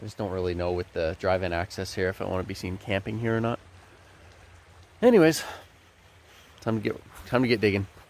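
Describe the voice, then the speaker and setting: Mumbling at a very fast pace, a man with a fairly low pitch and ordinary pitch variation leaves long, frequent pauses. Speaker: gold prospecting vlogger. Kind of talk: casual vlog narration. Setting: outdoors by a river.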